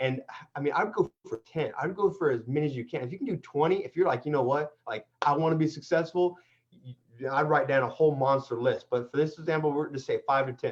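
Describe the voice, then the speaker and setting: A somewhat breathy voice moves at a fairly quick pace with ordinary pitch variation. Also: man, fairly high pitch for a man. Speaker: construction contractor and renovation expert. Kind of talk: online interview with teaching. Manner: fast; animated.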